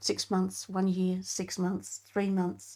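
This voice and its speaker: In a very clean recording with a silent background, a woman at medium pitch talks at a fairly slow pace in an unremarkable speaking voice. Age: 60s. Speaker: retired mechanical engineer. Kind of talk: interview conversation.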